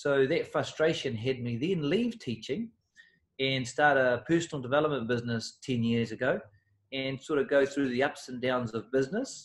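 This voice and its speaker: A man with a New Zealand accent speaks at a moderate pace, his pitch medium with ordinary variation. The recording is very clean, with a silent background. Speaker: personal development coach. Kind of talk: interview.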